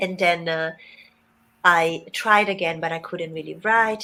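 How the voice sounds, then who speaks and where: A woman with an Italian accent and a bright, sharp tone, speaking at a fairly slow pace. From Italy. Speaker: writing mentor. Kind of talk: interview.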